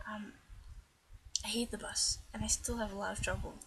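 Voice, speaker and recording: Over noticeable background noise, a woman speaks softly. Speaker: transgender vlogger. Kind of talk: casual talk to camera. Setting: poor-quality built-in microphone, at night. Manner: quiet, soft-spoken.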